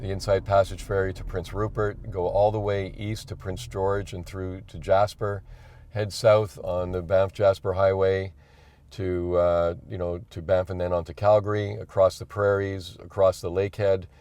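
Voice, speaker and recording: In a Montreal accent, a man speaks at a moderate pace with monotone, flat intonation. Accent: Canadian English, Montreal. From Quebec, Montreal. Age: 60s. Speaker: electric car owner on a cross-country drive. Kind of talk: interview. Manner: halting.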